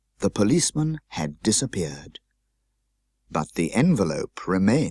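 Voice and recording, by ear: A man speaks at a slow pace with a slightly husky edge and very wide pitch swings, in a dry, close sound with no echo. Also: very clean recording, silent background.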